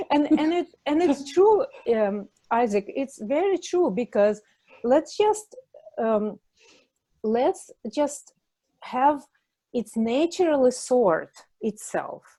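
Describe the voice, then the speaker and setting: A woman speaks at a high pitch with very wide pitch swings and a dark, mellow tone. Her pace is very slow, with long, frequent pauses. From Russia. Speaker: spiritual teacher. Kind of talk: video podcast panel discussion. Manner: halting, searching for words.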